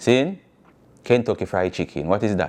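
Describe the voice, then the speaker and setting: A man talks at a moderate pace with a Jamaican accent. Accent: Jamaican patois. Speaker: talk show host. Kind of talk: freestyle rant to camera. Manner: passionate, animated.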